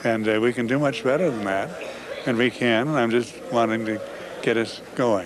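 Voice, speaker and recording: Noticeable background noise under talking at a moderate pace. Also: man. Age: 80s. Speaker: environmental activist. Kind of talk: interview. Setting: convention floor.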